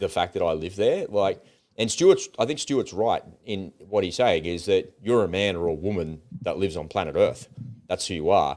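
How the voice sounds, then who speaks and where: A man with an Australian accent talks at a moderate pace. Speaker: podcast co-host. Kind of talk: casual chat. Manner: animated.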